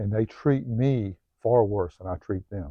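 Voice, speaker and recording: Moderately paced male speech at a medium pitch, ordinary in its pitch variation. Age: 50s. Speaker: self-help video host. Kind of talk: personal monologue vlog. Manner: halting, many fillers.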